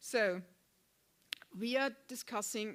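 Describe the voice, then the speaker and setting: A woman speaks with a German accent and fairly even intonation. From Germany. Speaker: panel moderator. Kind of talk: moderated panel introduction. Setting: conference venue with online participants. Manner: halting, many fillers.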